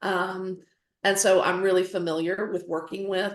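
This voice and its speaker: The speaker has a strong Southern US accent and a moderate pace. The intonation stays flat and monotone. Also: woman. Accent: Southern US, fairly strong. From North Carolina. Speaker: photographer and educator. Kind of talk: lecture.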